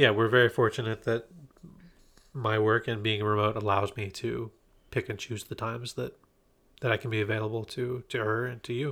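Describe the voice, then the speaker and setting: A man talks at a medium pitch with monotone, flat intonation and long, frequent pauses. The recording is very clean, with a silent background. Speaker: remote work expert, guest. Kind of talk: casual interview chat. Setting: recording in person, shared microphone.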